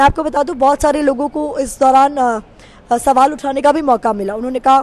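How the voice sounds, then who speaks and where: Amid noticeable background noise, a woman with a high pitch speaks in fairly even intonation. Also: moderate pace. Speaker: TV news reporter. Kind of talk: interview conversation.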